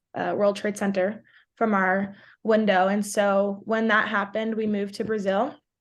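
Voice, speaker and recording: A woman with a New York accent speaks with fairly even intonation against a quiet background. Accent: New York American. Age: 20s. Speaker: college soccer player and content creator. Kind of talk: podcast interview. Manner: casual, filler-heavy (like, um).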